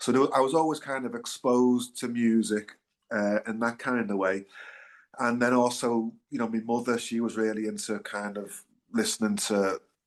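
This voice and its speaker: With a Liverpool accent, a man speaks at a moderate pace, his pitch medium. His intonation stays fairly even over a quiet background. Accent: Liverpool (Scouse). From Liverpool, England. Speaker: singer-songwriter, band frontman. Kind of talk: interview, casual chat. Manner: hesitant, many fillers.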